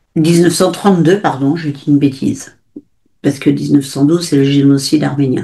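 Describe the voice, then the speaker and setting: With a very deep, low pitch and a dark, mellow tone, a woman speaks at a moderate pace with fairly even intonation. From grew up abroad in Africa and Asia, French family. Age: 70s. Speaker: author. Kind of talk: interview. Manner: halting, many fillers.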